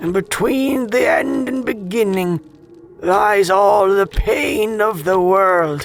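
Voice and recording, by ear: Text is being read aloud. It comes in a natural voice.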